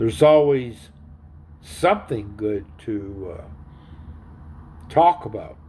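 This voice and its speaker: Speaking at a very slow pace with long, frequent pauses, a man with a medium pitch and a dark, mellow, somewhat breathy tone makes very wide pitch swings. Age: 60s. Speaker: vlogger. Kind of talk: casual monologue. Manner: halting.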